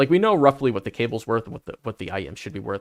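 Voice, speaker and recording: Lively intonation comes through a dry, close sound with no echo. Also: man. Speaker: company representative presenting product. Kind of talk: livestream product presentation with Q&A. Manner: fast.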